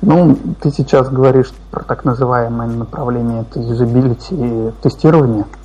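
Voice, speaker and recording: A man's mid-range pitch comes through noticeable background noise. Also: fairly even intonation, moderate pace. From Russia, Kazan. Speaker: QA automation engineer, freelancer. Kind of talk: casual interview.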